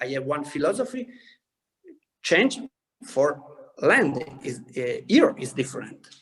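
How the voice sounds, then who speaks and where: With an Italian accent, a man speaks at a fairly slow pace, his pitch swinging very widely, with long, frequent pauses. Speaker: winemaker. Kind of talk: interview. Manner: halting.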